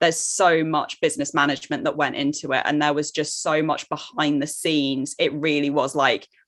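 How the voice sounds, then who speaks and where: A woman speaks with a British accent in a very deep, low pitch. The background is quiet. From Jersey, Channel Islands. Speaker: online course coach. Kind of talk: podcast interview.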